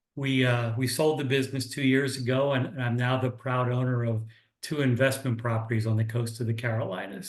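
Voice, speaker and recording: A man talks in a somewhat breathy voice, his intonation fairly even. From US Northeast, Philadelphia area. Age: 60s. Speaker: business mentor. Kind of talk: online workshop presentation. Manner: casual, halting with fillers.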